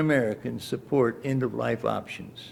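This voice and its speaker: At a moderate pace, a man speaks with a Midwestern US accent. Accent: US Midwest. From Iowa, US Midwest. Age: 80s+. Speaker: retired state lawmaker with terminal illness. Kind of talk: prepared statement at news conference. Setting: news conference. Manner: halting with breath pauses.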